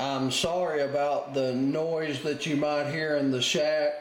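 A man talks at a very slow pace with fairly even intonation. Audible room echo and light background noise are present. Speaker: radio hobbyist. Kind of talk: tutorial. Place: home room.

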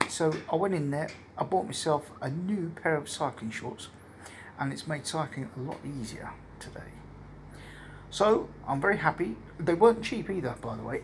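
Over light background noise, a man speaks at a moderate pace with long, frequent pauses and big swings in loudness. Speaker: cycling traveller vlogger. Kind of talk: casual vlog chat. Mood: relaxed, pleased. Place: home room. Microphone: phone near.

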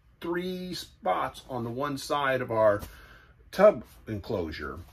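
A man's pitch swings very widely as he talks. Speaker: RV vlogger. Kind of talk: casual vlog chat. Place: home room.

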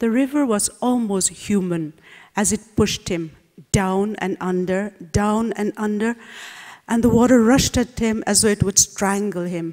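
A woman at medium pitch with a dark, mellow tone, ordinary pitch variation, a fairly slow pace and a quiet background. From Nagaland, India. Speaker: novelist. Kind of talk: reading aloud. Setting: stage with audience. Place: hall. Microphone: podium.

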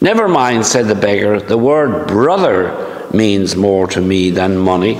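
A man at a fairly slow pace and fairly low pitch, with ordinary pitch variation, very even loudness, audible room echo, and music in the background. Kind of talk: homily and scripture reading. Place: church. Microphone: camera far.

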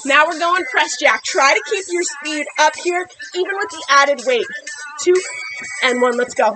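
A woman's raised, projected voice with lively intonation at a moderate pace, music playing in the background. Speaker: fitness instructor. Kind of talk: workout coaching cues. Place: garden.

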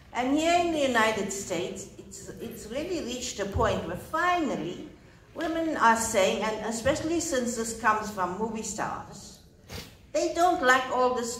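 At a fairly slow pace, a woman speaks amid audible room echo and light background noise. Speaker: conference speaker. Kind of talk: speech. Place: hall.

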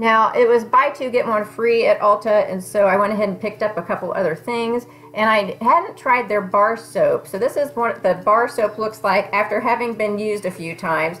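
A woman talks with an American accent at a moderate pace and fairly high pitch. She uses ordinary pitch variation and hardly any pauses. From Kansas. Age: 40s. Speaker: beauty vlogger. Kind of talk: casual product review. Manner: conversational. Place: home room. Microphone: phone near.

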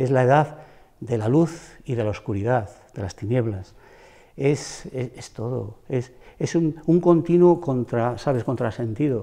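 Over a quiet background, the voice has a dark, mellow tone and moves at a fairly slow pace. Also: man, ordinary pitch variation. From Ponferrada, El Bierzo, León, Spain; Spain. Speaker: retired schoolteacher. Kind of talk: interview. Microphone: lapel.

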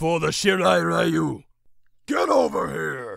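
A raspy, put-on character voice from a man, at a fairly slow pace. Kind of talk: video game character voice.

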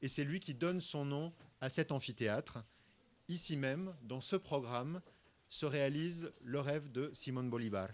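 Ordinary pitch variation from a man, delivered at a fairly slow pace. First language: French (speaking Spanish). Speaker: university director; guest. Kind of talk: formal welcome speech. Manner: formal. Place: hall. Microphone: podium.

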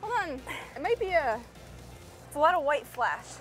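Faint music plays in the background as a woman speaks at a fairly quick pace, the sound dry with no echo. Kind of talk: casual vlog chat. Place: boat.

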